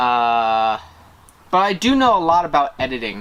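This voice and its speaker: A man at medium pitch mumbles. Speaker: vlogger. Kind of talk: tutorial. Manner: mumbling; casual, hesitant. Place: garden. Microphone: camera far.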